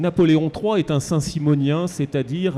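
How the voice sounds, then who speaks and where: Here a man's fairly high voice has a dark, mellow tone. He keeps a moderate pace with fairly even intonation. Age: 60s. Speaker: historian. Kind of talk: book talk panel discussion.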